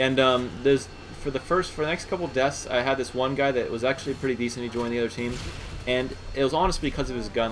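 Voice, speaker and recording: A man speaks very fast. His voice sits at a medium pitch with ordinary variation, and noticeable background noise runs behind him. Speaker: gaming commentator. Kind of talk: gameplay commentary.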